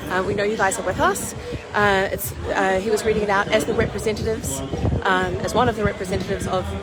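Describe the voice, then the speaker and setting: A woman at a very fast pace with fairly even intonation, audible room echo, and noticeable background noise. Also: medium pitch for a woman. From New Zealand. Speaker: protest livestreamer. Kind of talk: livestream commentary. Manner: halting, many fillers.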